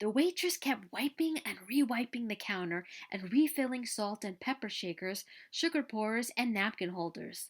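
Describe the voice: A woman speaks at a fairly high pitch. Her intonation is lively. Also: moderate pace.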